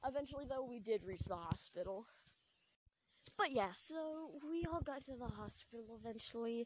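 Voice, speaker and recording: A quiet woman's voice with lively intonation at a fairly slow pace. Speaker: podcaster telling a personal story. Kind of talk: casual storytelling.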